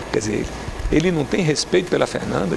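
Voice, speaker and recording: A man's voice with very wide pitch swings amid noticeable background noise. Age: 60s. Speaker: politician. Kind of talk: TV interview. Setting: TV studio. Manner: animated.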